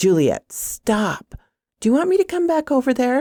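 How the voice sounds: A woman performs a put-on character voice, high in pitch with a dark, mellow tone and very wide pitch swings, at a fairly slow pace. The sound is dry and close with no echo, a very clean recording with a silent background.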